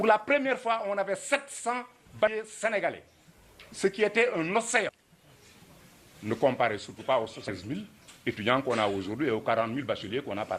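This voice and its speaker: A man talks at a fairly quick pace, with long, frequent pauses and big swings in loudness. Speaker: former student activist. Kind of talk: commemorative talk.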